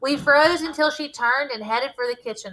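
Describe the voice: At a moderate pace, a woman speaks with a high pitch, ordinary pitch variation and a bright, sharp tone.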